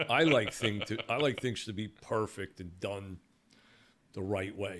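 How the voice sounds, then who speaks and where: A man with a Brooklyn accent speaks at a fairly slow pace and a fairly low pitch, with ordinary pitch variation, in a very clean recording over a silent background. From New York, Brooklyn. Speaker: security company owner. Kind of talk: podcast interview. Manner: halting, many repeated words.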